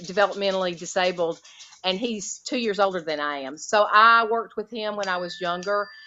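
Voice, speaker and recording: Speaking in a Southern US accent, a woman uses a medium pitch with ordinary pitch variation. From US South (Alabama). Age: 50s. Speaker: retired special education teacher. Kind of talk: interview conversation.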